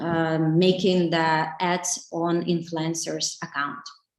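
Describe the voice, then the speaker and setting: This woman speaks with a Ukrainian accent. Her pitch is fairly low and her intonation fairly even. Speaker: digital marketing specialist. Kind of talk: webinar talk. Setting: online webinar. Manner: halting, many fillers.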